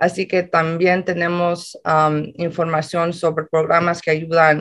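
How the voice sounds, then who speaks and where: Against a quiet background, a woman with a fairly low pitch speaks at a very slow pace. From Los Angeles, California. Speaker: community organizer. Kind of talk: interview. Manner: hesitant, many fillers. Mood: friendly, smiling. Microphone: video call.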